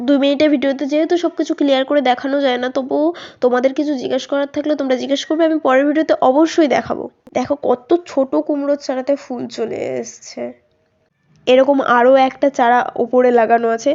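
Her pitch high, a woman talks with fairly even intonation. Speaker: gardening vlogger. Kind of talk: casual chat. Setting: outdoors.

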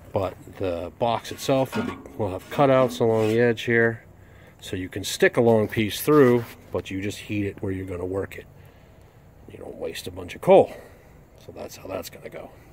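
A man speaks at a moderate pace with ordinary pitch variation, big swings in loudness and long, frequent pauses. The sound is dry with no echo, and there is noticeable background noise. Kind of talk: tutorial. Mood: relaxed, joking. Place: street. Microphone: phone near.

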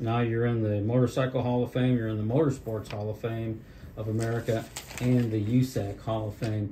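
Amid noticeable background noise, a man talks at a fairly quick pace in a monotone, flat intonation at a medium pitch. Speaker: history video host. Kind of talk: interview questions.

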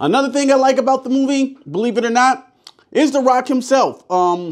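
Quiet surroundings behind a male speaker. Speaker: movie reviewer. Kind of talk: review commentary. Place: studio.

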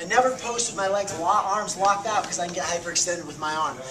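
A man at a very fast pace with ordinary pitch variation, amid loud background noise. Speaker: martial arts instructor. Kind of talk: tutorial. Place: gym. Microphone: camera far.

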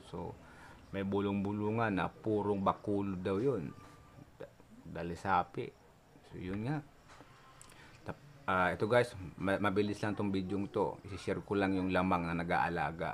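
At a moderate pace and with long, frequent pauses, a man with a fairly low pitch and fairly even intonation speaks over light background noise. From Philippines, province. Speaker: YouTuber, cockfighting enthusiast; YouTuber. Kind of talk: casual vlog storytelling. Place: home room. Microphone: phone near.

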